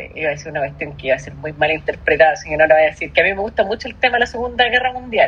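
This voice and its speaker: A woman with a Chilean accent talks at a very fast pace. Her loudness swings widely, and there is noticeable background noise. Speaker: podcast co-host. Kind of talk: casual chat.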